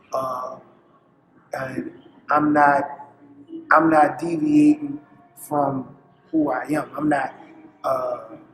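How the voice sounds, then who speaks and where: Very slow delivery broken by long, frequent pauses, over noticeable background noise. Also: man. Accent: New Orleans. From US South, New Orleans. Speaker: comedian. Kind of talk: interview. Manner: halting.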